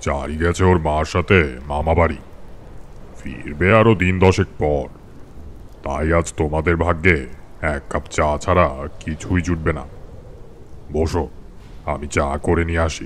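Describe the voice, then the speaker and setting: Using a put-on character voice with a very deep, low pitch, a man talks at a fairly slow pace with fairly even intonation over clear background noise. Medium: audio drama. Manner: measured, unhurried.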